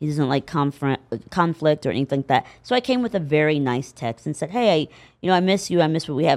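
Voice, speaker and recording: A woman with an American accent talks at a very fast pace, her very deep, low pitch carrying lively intonation. The sound is dry and close with no echo, on a very clean recording with a silent background. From Indiana, US Midwest. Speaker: actress. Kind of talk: casual interview chat. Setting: studio. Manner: halting, many fillers.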